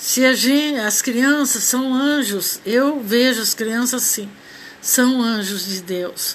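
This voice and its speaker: A woman's high-pitched, very slow speech over noticeable background noise. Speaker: amateur radio host. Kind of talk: informal monologue, religious reflection. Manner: halting.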